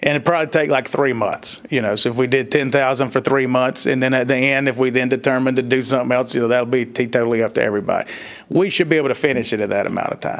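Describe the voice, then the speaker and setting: A man with a strong Southern accent at a very fast pace, hardly any pauses, fairly even intonation and medium pitch, over noticeable background noise. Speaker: economic development consultant. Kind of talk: public meeting discussion. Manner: casual, folksy.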